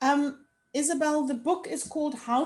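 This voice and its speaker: A woman with a South African accent. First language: Afrikaans. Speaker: dialogue facilitator. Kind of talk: reflective conversation.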